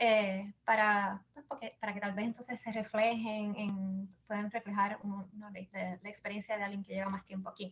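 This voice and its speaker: A somewhat breathy woman with a Puerto Rican accent speaks at a moderate pace in a medium pitch, with hardly any pauses. Her intonation is monotone and flat, while her loudness swings widely. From Puerto Rico. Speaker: business founder and mother. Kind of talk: interview. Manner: halting, many repetitions.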